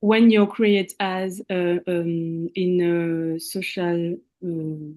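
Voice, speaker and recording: A woman's very slow voice in a French accent, fairly low-pitched, with a dark, mellow tone and fairly even intonation. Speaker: language student. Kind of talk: question in online class. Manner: halting.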